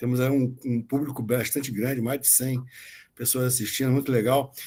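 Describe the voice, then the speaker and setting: Quickly enough, a man speaks at a fairly quick pace. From Rio de Janeiro, Brazil. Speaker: tax auditor and legal scholar. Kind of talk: online lecture. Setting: video call.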